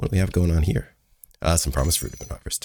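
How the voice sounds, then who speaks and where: A man talks with vocal fry. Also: dry, close sound with no echo. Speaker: gaming video creator. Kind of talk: let's play commentary. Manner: casual.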